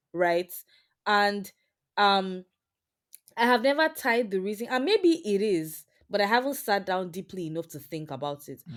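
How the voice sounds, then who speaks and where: Animated in tone and lively in intonation, a woman with a Nigerian accent speaks with big swings in loudness and long, frequent pauses. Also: medium pitch for a woman, moderate pace, very clean recording, silent background. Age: 20s. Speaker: software engineer. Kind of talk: interview conversation.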